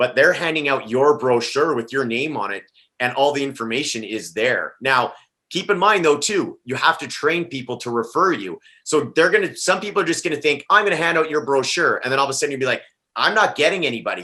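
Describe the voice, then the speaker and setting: A man talks loudly in an animated, bright, sharp tone, fairly high-pitched for a man. His pace is fairly quick and his intonation lively. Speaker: top listing real estate agent. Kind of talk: panel discussion.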